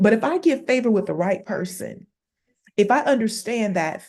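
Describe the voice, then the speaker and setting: A woman speaks in an animated tone at a moderate pace. Her intonation is lively. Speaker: panel speaker. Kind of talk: panel Q&A talk. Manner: loud.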